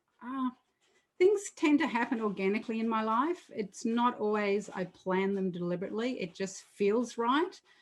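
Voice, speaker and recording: A woman with a fairly high pitch talks at a moderate speed, her intonation lively. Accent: Australian. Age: 60s. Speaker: artist. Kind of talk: interview.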